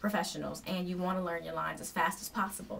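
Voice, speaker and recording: Amid noticeable background noise, a woman talks with ordinary pitch variation. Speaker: acting and modeling vlogger. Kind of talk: tutorial. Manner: fast.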